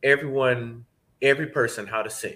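With a bright, sharp tone and a medium pitch, a man talks at a moderate pace on a very clean recording with a silent background. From Atlanta, Georgia. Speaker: professor of voice and singer. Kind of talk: casual interview. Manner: passionate.

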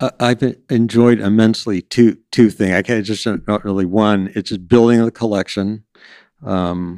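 Fairly quick and with fairly even intonation, a man with an American accent is heard in a very clean, dry, close recording with a silent background and no echo. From Southern California. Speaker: museum historian. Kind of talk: interview. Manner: halting.

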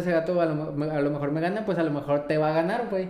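A man at a very fast pace and fairly high pitch, ordinary pitch variation, in audible room echo. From Mexico, Baja California Sur. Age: 20s. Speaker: paralympic swimmer. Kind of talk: casual interview.

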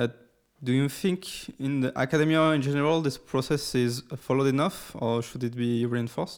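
A man talks at a moderate pace in a medium pitch with ordinary pitch variation, in a normal speaking voice. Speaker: podcast host. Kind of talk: interview.

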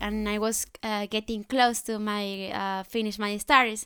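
A woman speaks at a fairly high pitch in a bright, sharp tone with a Spanish accent. The recording is very clean with a silent background, and the sound is dry and close with no echo. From Colombia. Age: 20s. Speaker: au pair. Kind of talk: casual chat.

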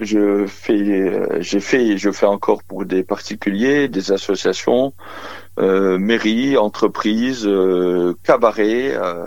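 A man speaks very slowly in a fairly low voice with fairly even intonation. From Lorraine, eastern France (Briey). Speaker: magician. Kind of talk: phone interview. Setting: phone call.

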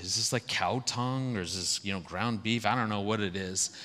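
With a bright, sharp tone, a man speaks at a fairly low pitch and moderate pace. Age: 50s. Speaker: marriage speaker. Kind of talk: sermon.

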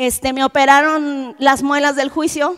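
A woman with a Mexican accent at a fairly slow pace. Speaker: preacher. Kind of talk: sermon.

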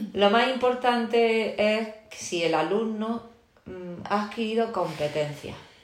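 A woman at a fairly high pitch with ordinary pitch variation and a very slow pace, audible room echo and noticeable background noise. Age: 40s. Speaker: teacher. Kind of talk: interview.

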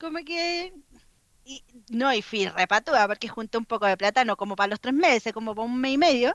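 With a Chilean accent, a woman speaks at a moderate pace in a bright, sharp tone with very wide pitch swings, her sound dry and close with no echo. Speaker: illustrator and street artist. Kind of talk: casual chat.

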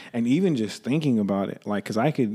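A man speaks in a dark, mellow tone, his pitch moving in an ordinary way. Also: very clean recording, silent background. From California, Central Valley. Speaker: independent rap artist. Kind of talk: interview.

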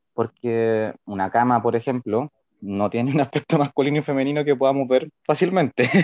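A man with a plain, everyday voice speaks at a medium pitch and a moderate pace, with ordinary pitch variation and a dry, close sound with no echo. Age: 20s. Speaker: integrative therapist. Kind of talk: casual chat.

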